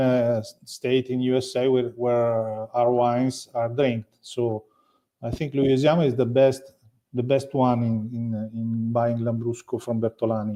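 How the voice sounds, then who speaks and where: A man's dark, mellow, medium-pitched voice in an Italian accent, monotone and flat at a fairly slow pace. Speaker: winery owner. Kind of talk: interview. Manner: halting.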